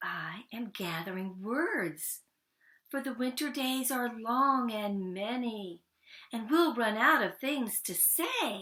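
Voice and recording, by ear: A woman does a put-on character voice, slow and fairly high-pitched, with a bright, sharp tone and lively intonation.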